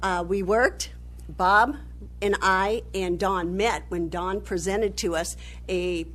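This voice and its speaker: A woman speaks, and there is audible echo in the room. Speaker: city council member. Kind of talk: council meeting speech. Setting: council chambers. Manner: loud.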